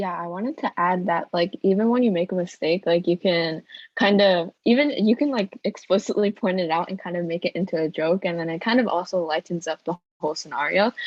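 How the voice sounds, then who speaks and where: A woman's medium-pitched voice at a fairly quick pace, with ordinary pitch variation. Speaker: student club member, conference participant. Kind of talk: group discussion. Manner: fast.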